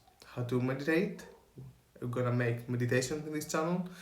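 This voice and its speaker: With a Greek accent, a man speaks at a medium pitch over noticeable background noise, and room echo is audible. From Greece. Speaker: spiritual coach and photographer. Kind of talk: motivational talk to camera. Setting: in front of camera.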